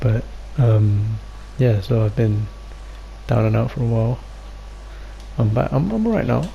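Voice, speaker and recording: The speech comes with long, frequent pauses, noticeable background noise and audible room echo. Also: man, moderate pace. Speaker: podcast co-host. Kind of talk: casual chat. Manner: halting.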